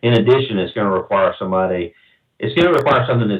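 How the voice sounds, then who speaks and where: A man's fairly low voice with ordinary pitch variation. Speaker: developer presenting a project. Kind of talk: presentation at council meeting. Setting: video call. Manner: fast; halting, many fillers and repeats.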